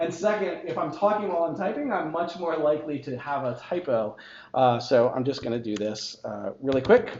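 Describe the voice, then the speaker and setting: The delivery is fairly quick with lively intonation. Noticeable background noise sits behind it. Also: man, fairly high pitch for a man. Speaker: tech conference speaker. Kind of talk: technical talk with live demo. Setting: meetup talk with live audience. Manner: fast; casual, joking.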